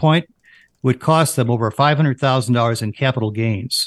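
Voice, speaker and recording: In a quiet background with a dry, close sound and no echo, a man has an ordinary speaking voice, a medium pitch, ordinary pitch variation and a moderate pace. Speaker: financial advisor. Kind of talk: radio show discussion.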